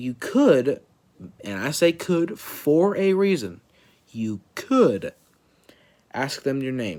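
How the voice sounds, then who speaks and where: This man has a fairly high pitch. His voice makes very wide pitch swings. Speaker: vlogger. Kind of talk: personal vlog message. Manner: halting, repeating words.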